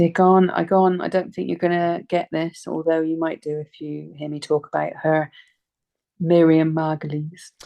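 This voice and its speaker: A woman's dark, mellow voice at a fairly low pitch, moderate in pace, monotone and flat in intonation, with a dry, close sound and no echo. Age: 40s. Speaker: comedian. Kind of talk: casual chat.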